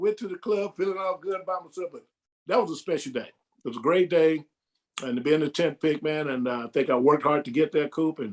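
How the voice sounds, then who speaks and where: Speaking at a very fast pace, a man talks in an American accent. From US South, Georgia (Macon). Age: 60s. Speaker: retired basketball player. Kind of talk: casual interview. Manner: animated.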